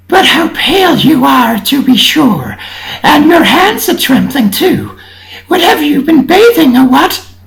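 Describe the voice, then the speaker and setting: A put-on character voice speaks with a high pitch. The pace is fairly slow. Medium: read story. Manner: suspicious, sharp.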